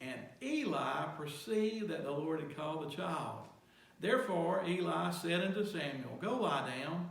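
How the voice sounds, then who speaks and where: A man's fairly high voice at a fairly slow pace, with lively intonation and noticeable background noise. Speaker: pastor. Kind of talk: sermon.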